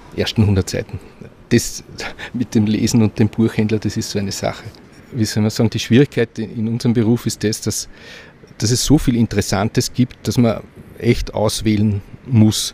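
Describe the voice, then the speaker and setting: A man speaks at medium pitch, somewhat breathy, with a dark, mellow tone. His intonation is monotone and flat, broken by long, frequent pauses. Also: moderate pace. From Vienna, Austria. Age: 60s. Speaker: bookseller. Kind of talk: interview. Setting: bookshop.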